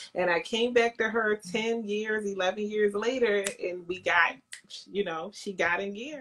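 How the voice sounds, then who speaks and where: In a Philadelphia accent, a woman speaks fairly slowly at a medium pitch with ordinary pitch variation against noticeable background noise. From Baltimore, US. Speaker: makeup entrepreneur and actress. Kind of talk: interview. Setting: Instagram live video call.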